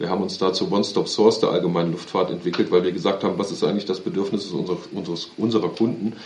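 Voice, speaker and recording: A man's fairly low voice at a very fast pace, monotone and flat, with audible room echo. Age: 30s. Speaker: aviation company executive. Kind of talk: interview.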